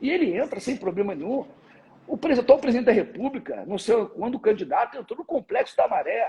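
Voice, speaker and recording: A man's extremely high pitch with lively intonation at a fairly quick pace. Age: 60s. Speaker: security expert, former police captain. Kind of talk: live interview.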